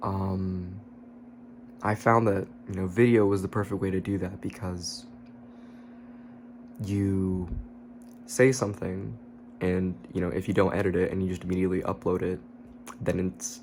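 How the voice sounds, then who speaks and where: Whispering quietly, a man speaks at a moderate pace with long, frequent pauses. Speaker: YouTuber. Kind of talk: casual vlog monologue. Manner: low, quiet voice, partly whispered.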